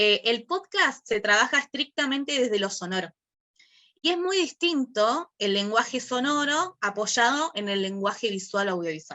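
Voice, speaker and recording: A woman with a plain, everyday voice speaks at a moderate pace. Her intonation is lively. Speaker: workshop teacher. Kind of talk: online class.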